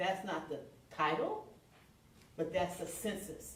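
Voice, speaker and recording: A woman speaks at a moderate pace with a very deep, low pitch. Noticeable background noise and audible room echo come through. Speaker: minister. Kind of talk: sermon. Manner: loud.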